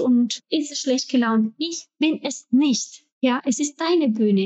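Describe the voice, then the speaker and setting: With a Spanish accent, a woman speaks at a very slow pace in a high pitch. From Ecuador. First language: Spanish (speaking German). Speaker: actress and entrepreneur. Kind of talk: interview. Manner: hesitant, many filler sounds.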